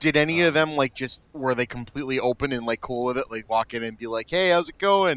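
A man talks very fast at a medium pitch, with hardly any pauses and ordinary pitch variation. The recording is very clean with a silent background, dry and close with no echo. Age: 30s. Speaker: podcast host, former video store clerk. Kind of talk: casual chat.

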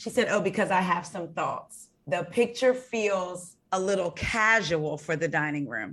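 A woman with an ordinary speaking voice talks at a fairly slow pace in a medium pitch, with lively intonation and hardly any pauses. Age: 40s. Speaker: podcast host. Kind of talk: casual chat.

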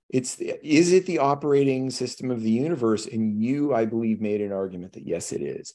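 With an American accent and lively intonation, a man talks at a fairly quick pace with hardly any pauses. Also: medium pitch for a man. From California. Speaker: podcast host. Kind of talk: casual chat. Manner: animated.

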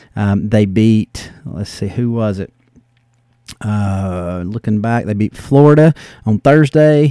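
The man has a medium pitch, a dark, mellow tone and a Southern US accent. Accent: Southern American. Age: 40s. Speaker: sports podcast host. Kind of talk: casual solo podcast monologue. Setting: home study. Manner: hesitant, many fillers.

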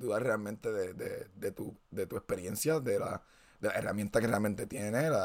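A man with a Puerto Rican accent speaks at a moderate pace. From Puerto Rico. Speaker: podcast host. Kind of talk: casual chat.

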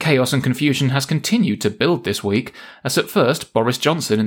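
With a plain, everyday voice, a man at medium pitch talks at a fairly quick pace with lively intonation in a very clean recording with a silent background. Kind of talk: news parody: mock-serious satirical newsreader delivering scripted jokes. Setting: studio.

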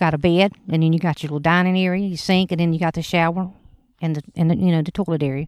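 With a Southern US accent, a woman talks very fast in a fairly low, monotone, flat voice on a very clean recording with a silent background. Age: 40s. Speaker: podcast co-host. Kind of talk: casual chat. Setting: outdoors at a campsite.

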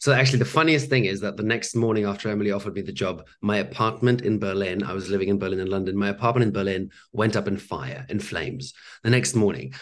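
Speaking at a very fast pace, a man uses a fairly low pitch with ordinary variation and vocal fry. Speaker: actor. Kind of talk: interview.

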